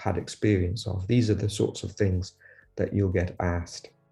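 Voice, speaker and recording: Over a quiet background, a somewhat breathy man talks at a moderate pace and fairly low pitch in a monotone, flat intonation. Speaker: lab head, scientist. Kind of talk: advice talk to camera. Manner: halting, many repetitions and fillers.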